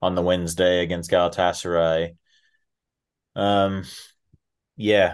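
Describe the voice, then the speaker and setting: A man's very deep, low voice with an American accent and fairly even intonation, over a quiet background. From USA. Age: 30s. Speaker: football podcast host. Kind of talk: casual chat.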